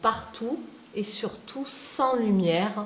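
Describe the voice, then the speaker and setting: In a Provençal accent, a woman talks with lively intonation at a fairly high pitch, with noticeable background noise behind her. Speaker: cave tour guide. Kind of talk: guided tour talk. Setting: inside a cave.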